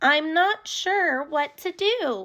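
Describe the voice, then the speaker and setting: This woman uses a put-on character voice that is squeaky and extremely high. Her pitch swings very widely. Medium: read story. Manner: timid, earnest.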